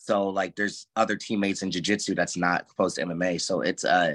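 A man with an American accent talks at a moderate pace in a fairly low pitch, a normal speaking voice. The sound is dry and close with no echo, against a quiet background. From US Midwest, St. Louis area (Ferguson), later California. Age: 30s. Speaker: professional fighter and grappler. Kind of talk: interview. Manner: casual, filler-heavy.

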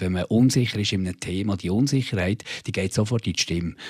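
An unremarkable speaking voice, this man's sits fairly low in pitch with ordinary pitch variation at a moderate pace. The recording is very clean with a silent background and a dry, close sound with no echo. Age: 40s. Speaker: radio host. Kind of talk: interview. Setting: studio.

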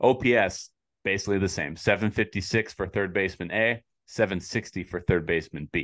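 With a plain, everyday voice, a man speaks fairly quickly and varies his pitch in an ordinary way. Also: fairly low pitch for a man. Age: 20s. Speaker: baseball podcast host. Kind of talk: casual chat.

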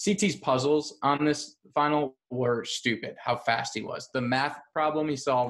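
In a normal speaking voice with an American accent, a man talks at a fairly slow pace and fairly high pitch, with ordinary pitch variation and hardly any pauses against a quiet background. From Chicago. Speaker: reality TV podcaster. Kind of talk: casual chat.

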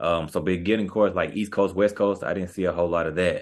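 At a very fast pace and with fairly even intonation, the speaker talks in an American accent against a quiet background. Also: man. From Texas, Wichita Falls. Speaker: sports agent, former basketball player. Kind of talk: casual interview.

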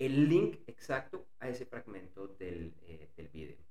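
Vocal fry colors a man's dark, mellow voice at a medium pitch, with very wide pitch swings. He goes at a fairly slow pace, and audible room echo can be heard. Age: 40s. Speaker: business podcast host and consultant. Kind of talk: interview and personal monologue.

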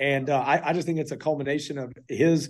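The speaker has a Texan accent, heard over a quiet background. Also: man. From Texas, Fort Worth. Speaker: college football coach. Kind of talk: radio interview. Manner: animated.

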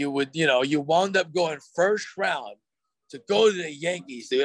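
A man's normal speaking voice with an American accent, fairly slow and lively in intonation, in a dry, close sound with no echo. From Oakland, California. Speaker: baseball fan and bleacher drummer. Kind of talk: casual chat. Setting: pizza restaurant.

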